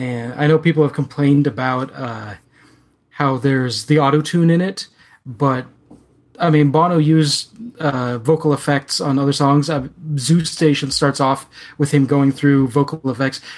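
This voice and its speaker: With an unremarkable speaking voice, a man talks at a moderate pace, fairly high in pitch, with fairly even intonation. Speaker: podcast co-host. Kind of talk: casual chat.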